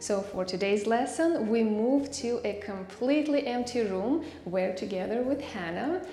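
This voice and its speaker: Over faint music in the background and audible room echo, a woman speaks at a fairly slow pace. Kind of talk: tutorial. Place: empty room.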